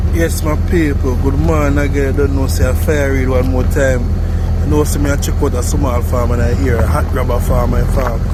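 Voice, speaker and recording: Audible room echo and noticeable background noise surround a man's voice. He keeps a moderate pace with very even loudness. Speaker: vlogger. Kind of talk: casual vlog narration.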